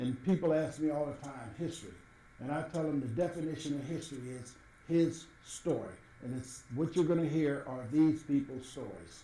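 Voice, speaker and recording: The man has an American accent and fairly even intonation. He speaks at a moderate pace with audible room echo. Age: 70s. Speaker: former city administrator. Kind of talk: interview.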